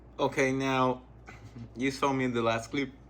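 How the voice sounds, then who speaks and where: A man is talking here. His speech comes with a non-native accent. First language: not English. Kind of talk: casual talk to camera.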